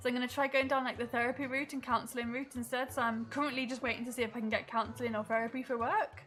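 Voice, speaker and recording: With hardly any pauses, a woman talks at a very fast pace in a high pitch and a flat monotone. Noticeable background noise runs underneath. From English Midlands. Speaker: gaming streamer. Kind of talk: casual livestream chat and gameplay commentary.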